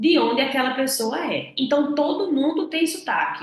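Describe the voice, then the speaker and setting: A woman speaks at a fairly slow pace in a northeastern Brazilian accent. Room echo is audible. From Northeast Brazil. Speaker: English communication coach. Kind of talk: online lesson.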